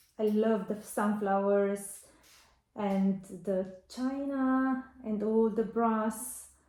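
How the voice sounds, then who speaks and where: In a Romanian accent, a woman speaks very slowly, her fairly high-pitched voice dark and mellow in tone. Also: ordinary pitch variation. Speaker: vintage seller and vlogger. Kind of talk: casual haul vlog. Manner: hesitant, with fillers.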